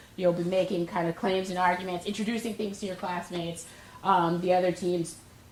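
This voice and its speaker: A woman talks fairly quickly, with noticeable background noise and audible room echo around her. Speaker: professor. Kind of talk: lecture. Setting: classroom. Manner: fast.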